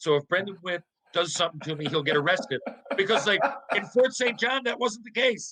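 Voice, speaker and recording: In a Newfoundland accent, a man talks at a fairly quick pace with lively intonation. The sound is dry and close, with no echo. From Newfoundland, Canada. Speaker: former hockey player. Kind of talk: casual interview chat. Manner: animated.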